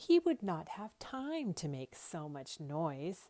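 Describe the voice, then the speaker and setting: A woman does a put-on character voice with a fairly low pitch and very wide pitch swings, speaking fairly slowly in a dry, close sound with no echo. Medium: read story.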